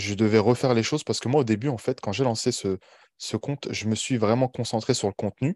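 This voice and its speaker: The sound is dry and close with no echo, over a quiet background. A man speaks at a medium pitch and moderate pace with ordinary pitch variation. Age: 20s. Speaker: online coach. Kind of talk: interview podcast.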